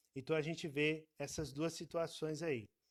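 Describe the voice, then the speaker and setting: There is no echo at all on this man's voice, which sounds dry and close. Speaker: Bible school teacher. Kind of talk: online Bible class lecture. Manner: casual, hesitant.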